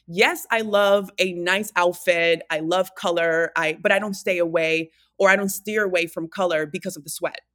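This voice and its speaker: With a Spanish accent, the speaker keeps a moderate pace, fairly even intonation and hardly any pauses, in a very clean recording with a silent background. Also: woman, fairly low pitch for a woman. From Dominican Republic. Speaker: fitness trainer and wellness coach. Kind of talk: casual interview, personal storytelling.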